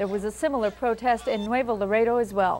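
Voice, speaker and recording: With a normal speaking voice, a woman talks at a fairly quick pace in a fairly high pitch. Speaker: TV news anchor. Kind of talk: TV news anchor read.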